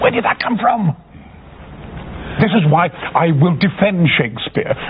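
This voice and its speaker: A moderate pace amid noticeable background noise. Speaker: actor. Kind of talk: interview. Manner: animated.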